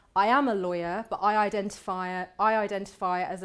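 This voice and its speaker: With a Birmingham accent, a woman talks at a medium pitch with fairly even intonation. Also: very clean recording, silent background. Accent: Birmingham (Brummie). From England, Birmingham (West Midlands). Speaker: barrister. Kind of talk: lecture. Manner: conversational.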